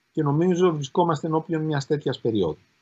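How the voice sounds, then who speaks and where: Here a man speaks at a fairly high pitch. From Greece. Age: 50s. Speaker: law professor and politician; law professor, politician. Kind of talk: interview. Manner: formal. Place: home room. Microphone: video call.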